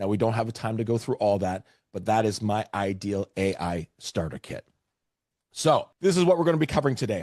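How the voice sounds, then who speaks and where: Speaking fairly quickly in a plain, everyday voice, a man with a Canadian accent talks at a fairly low pitch in a dry, close sound with no echo against a quiet background. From Canada, Vancouver area. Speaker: real estate AI trainer. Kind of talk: webinar presentation.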